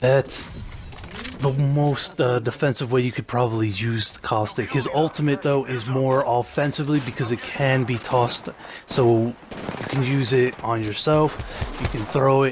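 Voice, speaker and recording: There is noticeable background noise behind a man speaking at a fairly slow pace. His pitch is medium and his intonation fairly even. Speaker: gaming video creator. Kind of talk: gameplay commentary. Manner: halting, many fillers.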